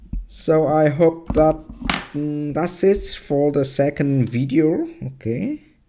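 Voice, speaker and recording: Music plays in the background. The speech comes at a very slow pace with fairly even intonation. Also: man. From Vietnam. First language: Vietnamese. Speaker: math teacher. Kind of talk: tutorial. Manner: halting, many fillers.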